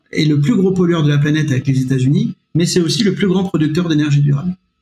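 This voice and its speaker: The voice moves at a very fast pace with very even loudness and a dark, mellow tone. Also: man. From France, Nevers. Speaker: history-geography teacher. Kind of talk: podcast interview. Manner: halting, many repetitions.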